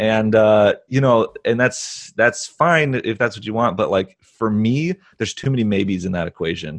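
In an ordinary speaking voice, a man talks at a moderate pace with ordinary pitch variation over a quiet background. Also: medium pitch for a man, hardly any pauses. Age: 30s. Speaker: filmmaker and business coach. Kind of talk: interview.

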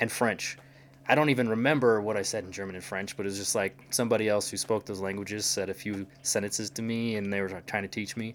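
A man speaks very fast at a fairly low pitch, his intonation fairly even. The recording is very clean, with a silent background. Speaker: language learner, polyglot. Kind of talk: casual chat.

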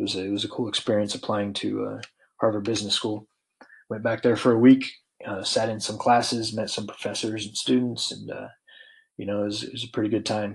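A man with a fairly low pitch and an American accent talks at a fairly quick pace in monotone, flat intonation, with big swings in loudness. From Colorado. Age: 40s. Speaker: podcast host, military veteran. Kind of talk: casual solo monologue. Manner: many fillers and hesitations.

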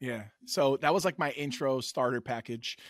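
In an American accent, a man with a medium pitch talks at a moderate pace in an ordinary speaking voice. The recording is very clean with a silent background, dry and close with no echo. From New York City. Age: 30s. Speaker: comic book content creator. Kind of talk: casual chat.

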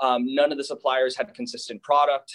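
A man speaks at a fairly high pitch with ordinary pitch variation. It is an unremarkable speaking voice. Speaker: hemp business owner. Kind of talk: interview.

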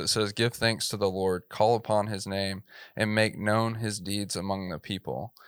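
A man with a Texan accent speaks at a fairly low pitch with fairly even intonation, on a very clean recording with a silent background. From East Texas. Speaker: filmmaker and church media producer. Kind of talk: interview.

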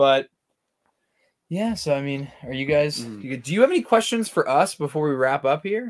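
This man's fairly high voice moves through very wide pitch swings and big swings in loudness. His pace is moderate. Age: 20s. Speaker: podcast co-host. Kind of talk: casual chat.

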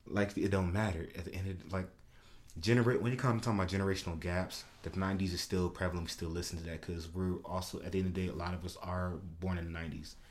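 The delivery is very fast. Room echo is audible. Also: man, very deep, low pitch for a man. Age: 20s. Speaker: podcast co-host. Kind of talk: casual chat. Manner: animated.

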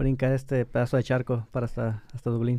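Dark and mellow in tone, a man's voice moves along at a fairly quick pace. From Mexico, La Paz. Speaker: podcast co-host. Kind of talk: casual chat. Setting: studio.

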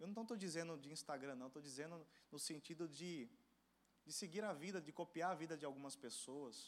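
In an animated tone, a man talks fairly quickly at a fairly high pitch with ordinary pitch variation. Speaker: preacher. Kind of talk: sermon to a young church audience. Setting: church with live audience. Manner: animated, rhetorical questions, calls for audience response; emphatic, fervent, exhorting.

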